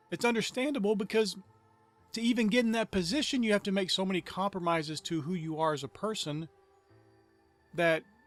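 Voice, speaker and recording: Music plays in the background as a high-pitched man talks at a fairly quick pace with lively intonation and long, frequent pauses. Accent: American. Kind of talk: sermon-style talk to camera.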